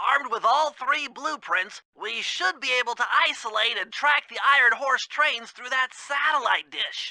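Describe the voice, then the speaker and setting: A high, female-sounding put-on character voice rattles on with hardly any pauses. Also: moderate pace. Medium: video game. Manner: nervous, stammering, wordy.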